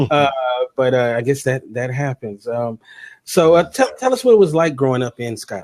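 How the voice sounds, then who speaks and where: A man speaks at a moderate pace and medium pitch with ordinary pitch variation. It is a normal speaking voice, with a dry, close sound with no echo. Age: 30s. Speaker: show host. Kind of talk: interview. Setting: live online broadcast.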